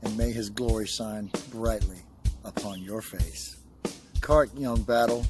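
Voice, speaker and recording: With music in the background, a man of fairly low pitch speaks at a fairly slow pace, his intonation lively and his speech broken by long, frequent pauses. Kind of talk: spoken word poetry delivery. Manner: rhythmic, rhyming, motivational.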